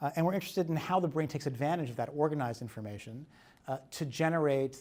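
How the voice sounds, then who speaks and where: There is a silent background on this very clean recording, where a man's pitch moves in a normal way. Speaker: neuroscientist, invited speaker. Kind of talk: lecture. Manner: fast; mumbling.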